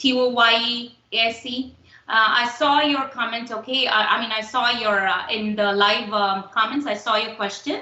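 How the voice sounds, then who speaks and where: A woman speaks at a moderate pace with a fairly high pitch and ordinary pitch variation. Noticeable background noise runs under her voice. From India, Tamil Nadu. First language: Tamil. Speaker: instructor. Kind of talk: lecture. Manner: halting, many fillers.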